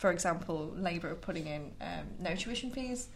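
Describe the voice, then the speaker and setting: A somewhat breathy woman speaks, with audible room echo. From Lincolnshire, England. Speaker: politics undergraduate student. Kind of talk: casual panel discussion. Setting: studio.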